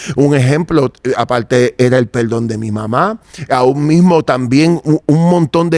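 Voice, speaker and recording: An ordinary speaking voice from a man, fairly high in pitch, with ordinary pitch variation, hardly any pauses, and a dry, close sound free of echo. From Puerto Rico, Santurce. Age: 60s. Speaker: interviewee giving religious testimony. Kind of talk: testimony.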